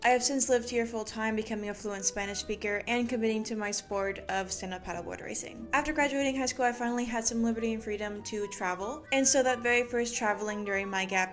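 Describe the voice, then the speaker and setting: A woman with an American accent talks at a fairly quick pace with hardly any pauses. Her fairly high pitch shows ordinary pitch variation, with noticeable background noise. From US, Utah (Park City), raised in Mexico from age six. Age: 18. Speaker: athlete and gap year alumnus. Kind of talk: scripted vlog narration.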